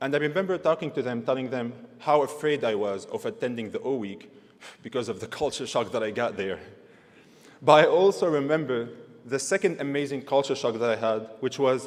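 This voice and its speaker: A man speaks with a non-native accent. His pace is fairly quick and his intonation lively. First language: not English. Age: 20s. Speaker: university graduate, valedictorian. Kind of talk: valedictory speech. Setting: graduation ceremony stage with audience.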